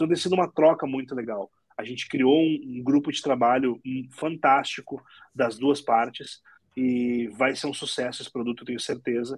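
A plain, everyday voice from a man at medium pitch, fairly even in intonation, with big swings in loudness. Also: moderate pace. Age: 30s. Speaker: entrepreneur. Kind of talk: interview.

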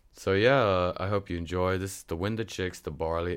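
In a very clean recording with a silent background, a man with a Northern Irish accent and a very deep, low pitch speaks at a moderate pace in fairly even intonation. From Northern Ireland. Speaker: music show host. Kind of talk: casual chat. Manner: hesitant, many fillers.

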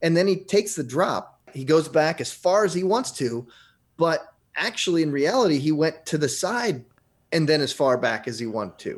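A man with a normal speaking voice talks at a moderate pace, his pitch fairly high and his intonation lively. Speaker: radio host. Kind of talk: casual chat.

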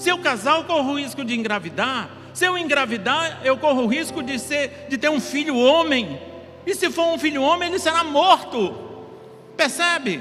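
A man with an extremely high pitch and ordinary pitch variation projects his raised voice at a moderate pace, with audible room echo and noticeable background noise. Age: 50s. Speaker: pastor. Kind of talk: sermon.

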